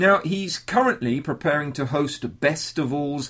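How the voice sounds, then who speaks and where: A man with a British accent and a warm, enthusiastic tone. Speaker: podcast host. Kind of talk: scripted intro mixed with interview chat. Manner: warm, friendly, enthusiastic.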